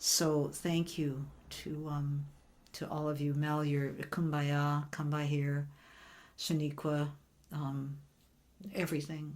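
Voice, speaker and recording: A woman's very deep, low voice, very slow and monotone, with long, frequent pauses and audible room echo. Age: 70s. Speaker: singer-songwriter hosting online song circle. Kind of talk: casual chat. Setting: video call.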